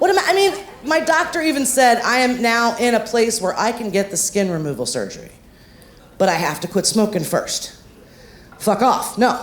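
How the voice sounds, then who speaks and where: With audible room echo around her, a woman talks at a fairly high pitch, her voice making very wide pitch swings. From Ohio, US. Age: 50s. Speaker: stand-up comedian. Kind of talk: stand-up. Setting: stage with audience. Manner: fast; loud.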